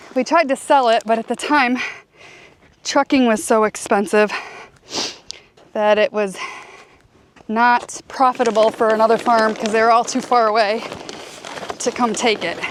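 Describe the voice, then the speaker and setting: Pausing long and often, a woman speaks at a fairly high pitch. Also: fairly even intonation, moderate pace. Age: 50s. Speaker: dump truck company owner and farmer. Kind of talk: casual talk to camera.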